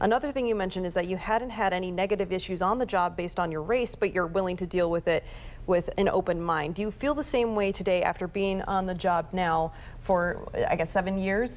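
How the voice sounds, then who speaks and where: A woman talks at a fairly quick pace in an ordinary speaking voice. Her pitch sits in the medium range and varies in an ordinary way. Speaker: TV news reporter and anchor. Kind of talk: TV news anchor read.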